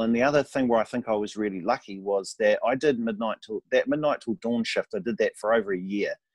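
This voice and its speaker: A man speaks with hardly any pauses and ordinary pitch variation. The sound is dry and close, with no echo. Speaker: radio and TV presenter. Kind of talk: casual interview chat. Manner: animated.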